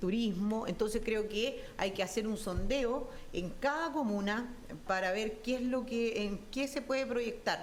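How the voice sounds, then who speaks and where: A woman with a fairly high pitch speaks at a fairly slow pace and very even loudness, with audible room echo around her. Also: ordinary pitch variation. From southern Chile, Araucanía. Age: 40s. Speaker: political candidate. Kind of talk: televised candidate interview. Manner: halting.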